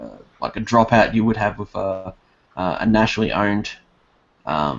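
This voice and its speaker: In an Australian accent, a man speaks at a fairly low pitch with big swings in loudness. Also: ordinary pitch variation, moderate pace. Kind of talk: casual political discussion. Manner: halting, many fillers.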